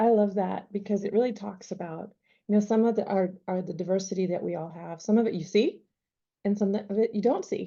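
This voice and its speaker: The woman talks fairly quickly, her pitch medium and her intonation fairly even. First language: not English. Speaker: panel moderator. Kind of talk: panel discussion.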